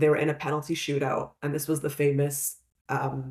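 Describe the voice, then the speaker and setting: With a Canadian accent, a woman speaks in a very deep, low pitch. Her intonation is monotone and flat, and her voice is somewhat breathy. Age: 30s. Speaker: podcast co-host. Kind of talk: casual chat.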